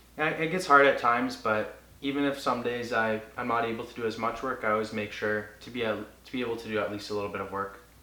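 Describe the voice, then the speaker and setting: Amid noticeable background noise and audible room echo, a man of medium pitch talks at a very fast pace with ordinary pitch variation. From Cambridge, Ontario, Canada. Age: 20s. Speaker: music promoter and artist. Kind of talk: interview.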